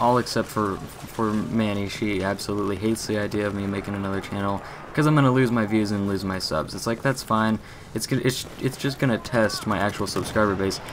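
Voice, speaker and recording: A man's fairly low voice at a fairly quick pace, fairly even in intonation, over noticeable background noise. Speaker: gaming YouTuber. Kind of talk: live gameplay commentary. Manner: stutters, halting.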